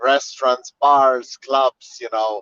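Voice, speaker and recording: With a Slovene accent, the speaker goes at a fairly slow pace with fairly even intonation, the sound dry and close with no echo. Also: man. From Slovenia. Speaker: tour guide. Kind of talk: virtual guided tour. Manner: halting, many fillers.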